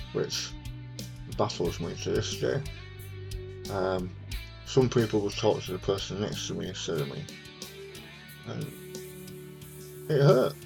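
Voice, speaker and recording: A man speaks at a very slow pace, with long, frequent pauses. Music plays in the background. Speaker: cancer survivor. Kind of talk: personal talk to camera.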